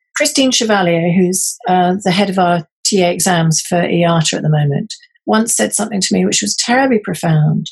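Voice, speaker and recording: Using a British accent, a woman speaks at a moderate pace in a medium pitch, with lively intonation and very even loudness. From grew up in many countries (third culture kid). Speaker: counselling trainer. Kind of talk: interview.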